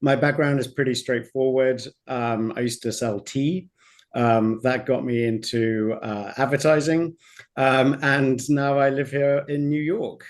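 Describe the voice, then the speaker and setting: Speaking with a British accent, a man keeps a fairly slow pace. His pitch is medium and his intonation fairly even. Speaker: streaming ad-tech executive. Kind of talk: panel discussion.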